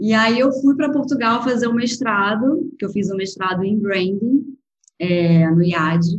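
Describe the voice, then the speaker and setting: Her voice fairly high and somewhat breathy, a woman speaks at a fairly slow pace with lively intonation. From Brazil, Rio de Janeiro. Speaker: food photographer and agency founder. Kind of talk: interview. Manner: soft, delicate.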